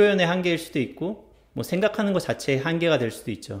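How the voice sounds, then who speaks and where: Using an unremarkable speaking voice, a man talks at a fairly quick pace with a fairly high pitch and lively intonation. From South Korea. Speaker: YouTuber, researcher living abroad. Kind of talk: vlog-style talk to camera.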